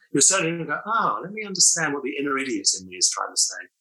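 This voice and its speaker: A man speaks very fast, with audible room echo. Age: 70s. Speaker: psychotherapist and author. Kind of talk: podcast interview.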